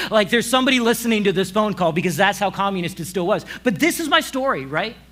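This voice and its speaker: Loud and very fast, this voice speaks in an American accent with lively intonation. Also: man, high pitch for a man. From Kansas and Romania, raised abroad as missionary kid. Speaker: pastor. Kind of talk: sermon. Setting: church service with audience. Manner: casual, filler-heavy.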